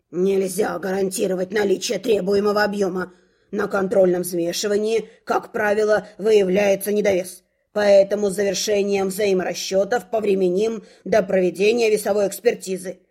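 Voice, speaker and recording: A woman puts on a raspy, hissing character voice at medium pitch, speaking at a moderate pace with a flat, monotone intonation. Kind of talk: formal, bureaucratic.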